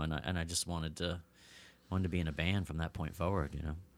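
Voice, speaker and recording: A very clean recording with a silent background carries a man talking with an American accent. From Pennsylvania, US. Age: 40s. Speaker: rock guitarist and producer. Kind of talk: casual chat. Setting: home studio.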